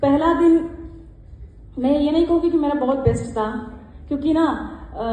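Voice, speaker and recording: A woman's high-pitched voice with ordinary pitch variation, audible room echo and noticeable background noise. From South India, Karnataka (Mysore district). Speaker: club member, one-day national president. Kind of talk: acceptance speech. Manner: halting, with many fillers.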